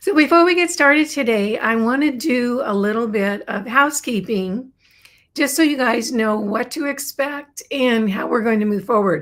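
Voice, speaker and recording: A woman's put-on character voice, raspy and high-pitched, with lively intonation at a moderate pace. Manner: professional, host-like.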